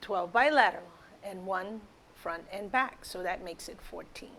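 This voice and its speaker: Moderate pace and ordinary pitch variation in a normal speaking voice. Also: woman. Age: 60s. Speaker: wellness product promoter. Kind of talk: product testimonial.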